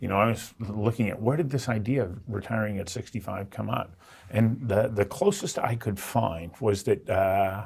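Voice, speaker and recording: This man's voice is somewhat breathy and fairly low in pitch. He keeps a moderate pace with ordinary pitch variation. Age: 60s. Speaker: interviewer. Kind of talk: interview.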